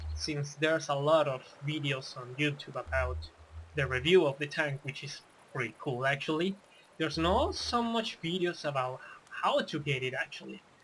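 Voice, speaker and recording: A man talks at a moderate pace in a non-native accent. His pitch is fairly high. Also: ordinary pitch variation. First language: not English. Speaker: gaming tutorial youtuber. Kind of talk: tutorial. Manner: casual, with hesitations and self-corrections.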